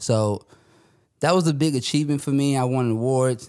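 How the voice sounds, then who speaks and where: A man with an ordinary speaking voice, ordinary pitch variation and a moderate pace, on a very clean recording with a silent background. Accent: American. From Northern Virginia, US. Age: 30s. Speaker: artist and designer. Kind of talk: interview.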